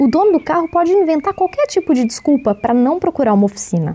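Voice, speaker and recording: A woman's dark, mellow tone with lively intonation. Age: 20s. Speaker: podcast host, journalist. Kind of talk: scripted narration.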